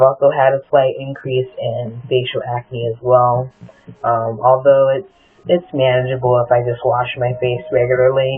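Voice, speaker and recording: Against noticeable background noise, a man speaks in a medium pitch at a moderate pace with monotone, flat intonation. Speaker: vlogger documenting gender transition. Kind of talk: personal video diary. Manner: many filler ums.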